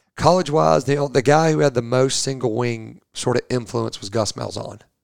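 Man with an unremarkable speaking voice, medium pitch and ordinary pitch variation. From northwest Georgia, US South. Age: 40s. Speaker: high school football coach. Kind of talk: casual interview.

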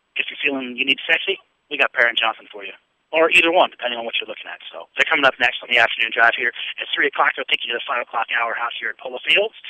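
A man's energetic, very fast delivery, with big swings in loudness and ordinary pitch variation. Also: medium pitch for a man. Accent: American. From Pennsylvania. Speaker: radio sports host. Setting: outdoors on location at golf club, live broadcast. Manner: energetic, rapid-fire, chatty, rambling with frequent filler words.

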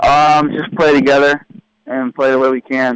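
A man with an American accent speaks at medium pitch with a dry, close sound with no echo. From California. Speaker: professional soccer player. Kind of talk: radio interview.

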